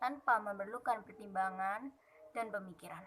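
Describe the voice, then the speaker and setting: A woman's shrill voice moves along at a moderate pace. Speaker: university student. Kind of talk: class presentation. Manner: formal, read from text.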